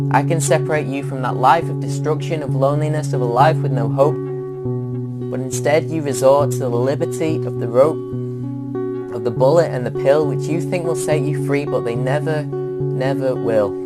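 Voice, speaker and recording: The speech keeps a moderate pace and fairly even intonation. Music plays in the background. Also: man, medium pitch for a man, hardly any pauses. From England. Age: young. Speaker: spoken word poet. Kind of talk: spoken word poetry performance. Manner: earnest, impassioned.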